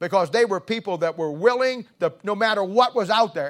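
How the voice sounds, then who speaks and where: A high-pitched man with lively intonation at a moderate pace, in a very clean recording with a silent background. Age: 70s. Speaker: pastor. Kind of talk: sermon. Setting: church. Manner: halting.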